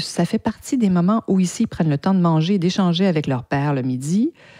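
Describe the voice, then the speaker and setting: A woman speaks with a Canadian French accent. Her tone is dark and mellow, and her pitch varies in an ordinary way. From French Canada. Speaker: podcast host, PR agency owner. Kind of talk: podcast monologue. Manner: hesitant, many repeated words.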